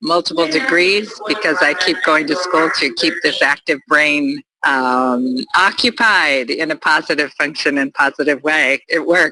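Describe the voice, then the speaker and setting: Speaking at a fairly slow pace, a woman with a very deep, low pitch uses lively intonation and very even loudness, with a dry, close sound and no echo. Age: 70s. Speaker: addiction counselor trainee. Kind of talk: personal introduction in a training session.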